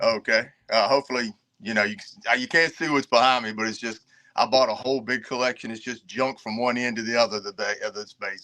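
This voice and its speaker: A man with an American accent at a very fast pace, medium in pitch with ordinary variation and a bright, sharp tone. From Virginia. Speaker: reseller and army veteran. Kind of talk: casual chat.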